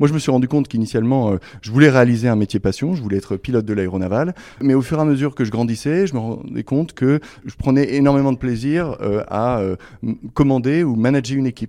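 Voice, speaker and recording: A man speaks at a very fast pace in a dark, mellow tone. His pitch is medium, with ordinary variation. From France, Essonne (Paris region). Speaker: naval officer and helicopter pilot. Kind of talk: interview. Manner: halting, frequent hesitations.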